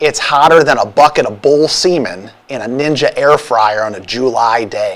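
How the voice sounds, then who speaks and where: Putting on a nasal character voice, a man speaks at a fairly high pitch. His pace is moderate, with hardly any pauses. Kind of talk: exaggerated, comedic.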